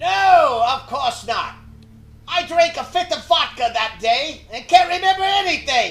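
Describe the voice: Over faint music in the background, a man uses a put-on character voice at a moderate pace.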